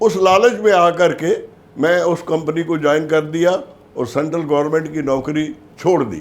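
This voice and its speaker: There is noticeable background noise. Through it comes a man's fairly high-pitched voice. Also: ordinary pitch variation. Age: 80s+. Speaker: life insurance agent. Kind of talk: motivational talk.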